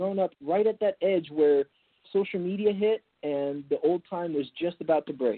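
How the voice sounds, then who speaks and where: The voice carries an American accent. Its pitch varies in an ordinary way. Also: man, high pitch for a man, moderate pace. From California, Napa Valley. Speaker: entrepreneur, former athlete and model. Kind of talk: interview.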